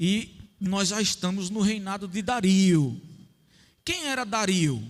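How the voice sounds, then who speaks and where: The speech comes very slowly, and audible room echo hangs around it. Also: man, high pitch for a man, ordinary pitch variation. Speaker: lay preacher. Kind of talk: sermon. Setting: church with audience.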